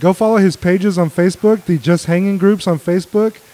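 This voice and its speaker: A man with an American accent and a high pitch speaks with ordinary pitch variation over noticeable background noise. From Mexico, raised on the US border. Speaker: beer podcast host. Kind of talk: casual chat.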